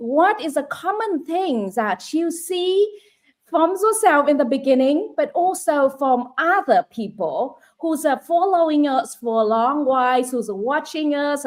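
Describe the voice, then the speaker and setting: With a Vietnamese accent, a woman speaks at a fairly slow pace. Her high-pitched voice has lively intonation. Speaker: online business coach. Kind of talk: live stream chat.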